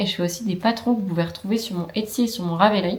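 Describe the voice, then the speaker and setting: Here we hear a woman. The rise and fall of her pitch is ordinary. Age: 20s. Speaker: knitting youtuber. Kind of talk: casual vlog podcast chat. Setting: at home with her dog, camera recording. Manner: chatty, many hesitations.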